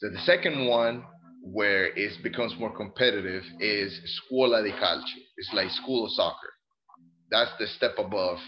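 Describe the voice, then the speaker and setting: Using ordinary pitch variation, a man with a Spanish accent and a fairly low pitch speaks at a moderate pace. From Colombia. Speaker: Air Force service member and soccer parent. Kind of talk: casual interview.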